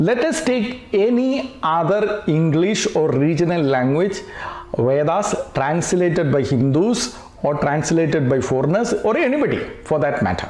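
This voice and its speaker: A man with a Keralan accent speaks at a moderate pace in a high voice, with very wide pitch swings and very even loudness. Audible room echo and noticeable background noise fill the recording. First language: Malayalam. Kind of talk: lecture. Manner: hesitant, many fillers.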